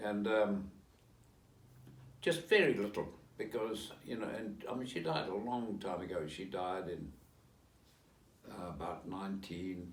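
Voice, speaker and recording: At a fairly slow pace with long, frequent pauses, the speaker shows ordinary pitch variation amid audible room echo. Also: man, fairly low pitch for a man. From South Africa. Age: 80s+. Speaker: interviewee, relative of historical figure. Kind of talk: interview. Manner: halting.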